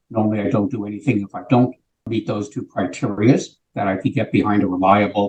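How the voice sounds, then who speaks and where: A man's fairly low, somewhat breathy voice at a fairly quick pace, with ordinary pitch variation. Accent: American. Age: 70s. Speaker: sales executive. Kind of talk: interview.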